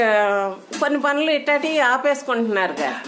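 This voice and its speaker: Noticeable background noise behind a woman's high voice, its pitch varying in an ordinary way. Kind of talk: casual interview questions.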